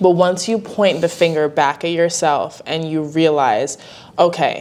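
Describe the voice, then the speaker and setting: At a fairly slow pace, a woman speaks in a plain, everyday voice that sits fairly low in pitch. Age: 20s. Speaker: podcast host. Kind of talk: candid conversation.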